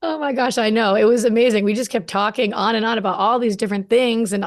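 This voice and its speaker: The tone is animated and the pace very fast. The background is quiet. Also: woman. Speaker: podcast host. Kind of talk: podcast interview. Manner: loud.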